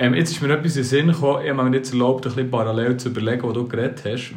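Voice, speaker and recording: Over noticeable background noise, a man talks at medium pitch with fairly even intonation. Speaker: podcast co-host. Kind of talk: casual chat.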